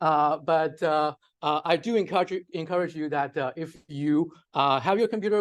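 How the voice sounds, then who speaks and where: Against a quiet background, a man with a Chinese accent talks at a fairly quick pace, his fairly high pitch moving with ordinary variation. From China. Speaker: data scientist, workshop presenter. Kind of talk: lecture. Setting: workshop with live audience. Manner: many fillers (uh, um).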